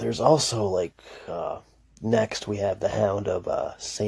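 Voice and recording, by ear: Text read aloud in a natural voice, with intonation kept fairly even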